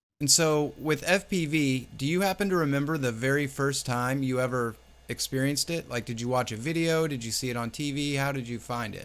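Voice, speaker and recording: A normal speaking voice moves at a fairly quick pace with hardly any pauses and ordinary pitch variation, on a very clean recording with a silent background. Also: man, fairly high pitch for a man. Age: 30s. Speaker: livestream interview host. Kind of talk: casual interview.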